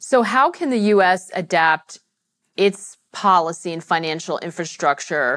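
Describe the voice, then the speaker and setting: A woman at a fairly slow pace with lively intonation against a quiet background, an unremarkable speaking voice. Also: fairly low pitch for a woman. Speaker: journalist and event moderator. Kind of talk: moderated panel discussion. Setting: stage with live audience. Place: stage. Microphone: lapel.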